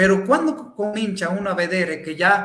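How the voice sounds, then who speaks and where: A man's voice, high in pitch. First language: Spanish (speaking Italian). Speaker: psychologist. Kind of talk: talk.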